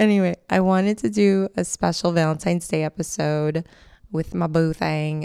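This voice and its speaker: With ordinary pitch variation, a woman speaks in a very deep, low pitch and a dark, mellow tone, recorded dry and close with no echo. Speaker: podcast host, relationship coach. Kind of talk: casual solo podcast monologue. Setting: recording at home while partner sleeps. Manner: hushed, quieter than usual.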